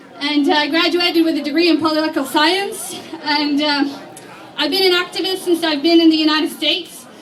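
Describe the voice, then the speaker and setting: Amid crowd noise and audible room echo, a woman speaks fairly quickly in a monotone with flat intonation at an extremely high pitch. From Iraq, Baghdad. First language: Arabic. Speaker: activist. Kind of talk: rally speech. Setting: outdoor rally with crowd. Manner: reading prepared speech.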